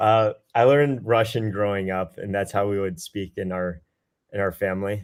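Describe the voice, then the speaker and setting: A man with a fairly low pitch uses a normal speaking voice, talking at a moderate pace. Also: fairly even intonation. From US South, Georgia. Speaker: military officer and recent graduate. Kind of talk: webinar interview.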